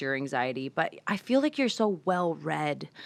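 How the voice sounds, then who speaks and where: A woman's fairly low voice with a bright, sharp tone. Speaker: talk show host. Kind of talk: interview question.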